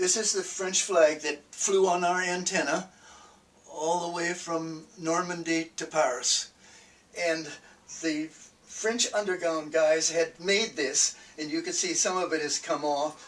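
A man with a high-pitched voice speaks at a fairly slow pace, keeping his intonation fairly even. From Minnesota, USA. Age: 80s+. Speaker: World War II veteran. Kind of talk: oral history interview.

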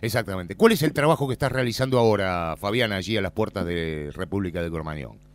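A man speaks very fast with a Rioplatense accent, his fairly low voice rising and falling in a lively way and hardly pausing. The recording is very clean, with a silent background. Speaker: radio host and interviewer. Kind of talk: radio interview. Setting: outdoors at a memorial event outside a nightclub.

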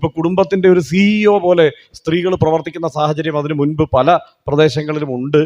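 There's an unremarkable speaking voice from a man with fairly high pitch and ordinary pitch variation, recorded dry and close with no echo. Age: 40s. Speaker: public speaker. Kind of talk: public speech.

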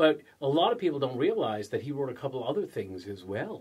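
A man speaks in a playful tone at a moderate pace. The background is quiet. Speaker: channel host promoting a holiday series. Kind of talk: wrestling-style promo, hyped-up sales pitch. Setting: video recording, someone behind the camera. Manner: loud, animated, excitable, punchy with catchphrases and showman flair; playful, tongue-in-cheek, teasing with pauses for laughs.

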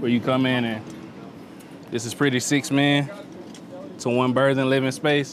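A man with a Memphis accent speaks at a medium pitch in monotone, flat intonation with long, frequent pauses, the sound dry with no echo but with noticeable background noise. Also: moderate pace. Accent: Southern US (Memphis). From US South (Memphis, Tennessee); Tennessee. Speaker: navy sailor, culinary specialist. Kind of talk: interview and tour. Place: boat. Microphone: lapel.

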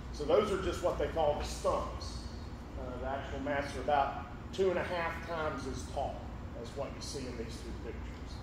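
A man speaks at a moderate pace. The room echo is audible, and background noise is noticeable. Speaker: presenter. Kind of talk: lecture. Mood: relaxed, anecdotal. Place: hall.

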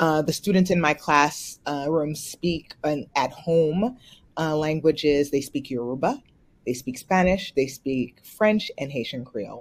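A woman speaks at a fairly slow pace. Her pitch is low, with ordinary variation.

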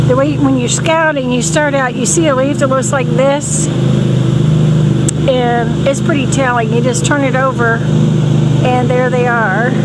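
Against loud background noise, the speech comes fairly slowly with long, frequent pauses in a dry sound without echo. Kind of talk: casual vlog chat. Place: garden. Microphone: phone near.

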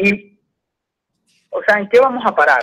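In a Venezuelan accent and a bright, sharp tone, the speaker talks at a moderate pace with fairly even intonation against a quiet background. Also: man. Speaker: caller. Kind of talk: phone-in comment. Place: studio. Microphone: studio mic.

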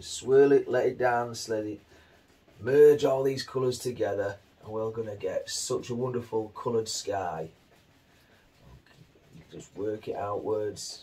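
Pausing long and often, a man talks at a fairly slow pace with ordinary pitch variation and big swings in loudness over light background noise. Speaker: painting instructor. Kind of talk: tutorial.

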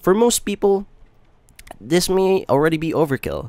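A man speaks at a fairly slow pace, his tone slightly mellow.

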